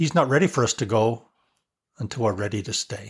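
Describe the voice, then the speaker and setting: Somewhat breathy and lively in intonation, a man talks at a fairly quick pace on a very clean recording with a silent background. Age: 70s. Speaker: retired missionary. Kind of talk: testimony.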